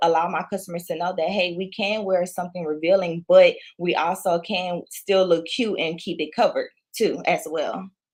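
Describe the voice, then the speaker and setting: In a Louisiana accent, a woman talks at a moderate pace, her fairly low voice keeping a fairly even intonation. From Louisiana, moved to Houston, Texas at six. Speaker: entrepreneur, clothing brand owner. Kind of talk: interview.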